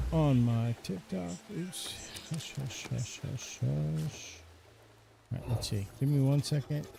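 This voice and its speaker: The speaker goes at a very slow pace in a calm, relaxed tone, with very wide pitch swings. Long, frequent pauses break up the speech over noticeable background noise. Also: man, medium pitch for a man. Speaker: gaming streamer. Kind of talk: live stream commentary with chat. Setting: live stream. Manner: calm, relaxed pace.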